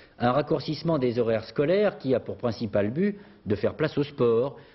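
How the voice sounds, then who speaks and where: Very wide pitch swings from a man, his voice somewhat breathy. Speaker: news presenter. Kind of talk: news anchor studio introduction, scripted. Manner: formal, polished, measured. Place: studio. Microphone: lapel.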